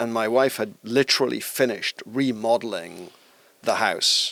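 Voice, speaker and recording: With a South Wales accent, a man speaks in a medium pitch with fairly even intonation. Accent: Welsh (South Wales). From Wales (Bridgend). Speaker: tech company executive. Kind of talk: podcast interview answer.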